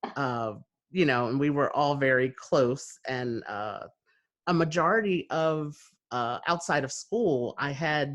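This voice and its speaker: A man with an American accent, medium pitch and ordinary pitch variation speaks in a plain, everyday voice. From New Jersey, USA. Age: 30s. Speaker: podcast host. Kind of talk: conversational interview talk.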